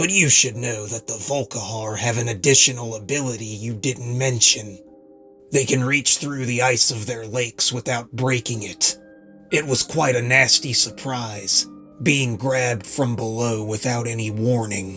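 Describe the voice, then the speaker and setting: Over clear background music, a man does a raspy put-on character voice at medium pitch and a moderate pace. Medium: read story. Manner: curt, cold, controlled.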